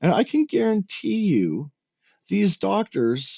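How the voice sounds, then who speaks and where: A man with a Canadian accent speaks at a very slow pace. The sound is dry and close, with no echo. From Canada, Regina, Saskatchewan. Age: 40s. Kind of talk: casual rant commentary. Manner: animated.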